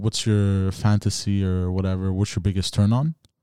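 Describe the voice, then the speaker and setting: A man's fairly low voice at a moderate pace, in a very clean recording with a silent background. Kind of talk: casual chat. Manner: animated.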